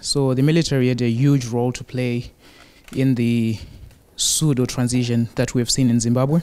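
A man speaks at a moderate pace with a medium-pitched voice. His tone is dark and mellow, and his intonation stays fairly even. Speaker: audience member. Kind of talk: audience question. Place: hall. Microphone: handheld.

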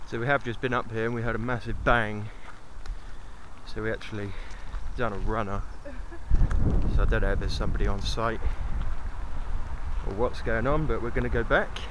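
Amid noticeable background noise, a man talks at a fairly quick pace, his sound dry with no echo. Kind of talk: casual vlog chat. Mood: slightly nervous, hurried. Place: street. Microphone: phone near.

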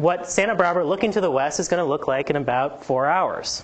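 Speaking at a moderate pace, a woman uses a fairly low pitch and lively intonation. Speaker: invited lecturer. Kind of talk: lecture. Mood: light, joking. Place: hall.

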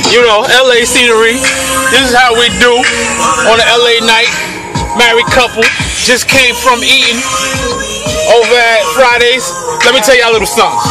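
Clear music plays in the background. Over it, a man speaks at a fairly quick pace. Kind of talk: freestyle rap. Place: car. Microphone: phone near.

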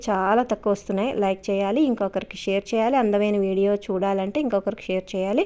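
A woman with medium pitch and a dark, mellow tone speaks with fairly even intonation. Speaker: gardening channel host. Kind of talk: casual vlog narration.

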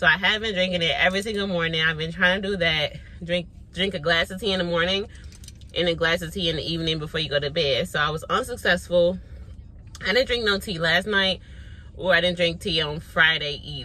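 The speech moves at a fairly quick pace with fairly even intonation, and the sound is dry with no echo. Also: woman, fairly low pitch for a woman. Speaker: vlogger. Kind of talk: casual vlog chat. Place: car. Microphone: phone near.

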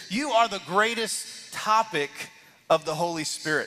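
A man talks in a raised, projected voice with ordinary pitch variation. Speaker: lead pastor. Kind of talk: sermon. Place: church.

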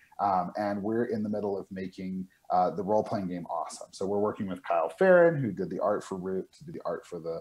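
Here a man with an American accent talks at a fairly quick pace and a fairly low pitch. His pitch variation is ordinary, while his loudness swings widely. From New Mexico. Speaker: board game publisher. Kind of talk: game demo interview. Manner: halting, many fillers and repeats. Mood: friendly, enthusiastic. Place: home room. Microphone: video call.

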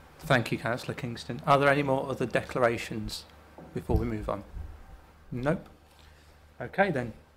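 The speaker uses vocal fry at a moderate pace, with long, frequent pauses, ordinary pitch variation and light background noise. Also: man, medium pitch for a man. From England. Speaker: committee chair. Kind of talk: formal meeting chairing. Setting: council chamber. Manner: formal. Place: hall. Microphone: podium.

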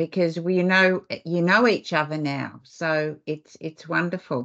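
Over a quiet background, a woman speaks with an Australian accent. Her pitch sits at a medium level. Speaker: webinar host and foundation CEO; webinar host, moderator. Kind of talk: webinar presentation. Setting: video call webinar. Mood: warm, appreciative. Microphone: video call.

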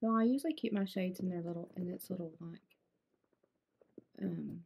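A woman's somewhat breathy, medium-pitched voice with a dark, mellow tone, fairly quick pace and ordinary pitch variation. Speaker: handbag collector and YouTuber. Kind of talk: casual talk to camera. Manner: fast.

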